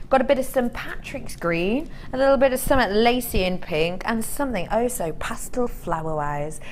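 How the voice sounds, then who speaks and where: Over noticeable background noise and audible room echo, a woman speaks at a moderate pace and medium pitch, her pitch swinging very widely. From Cheshire, northern England. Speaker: shopping channel presenter. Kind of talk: sales pitch. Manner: animated.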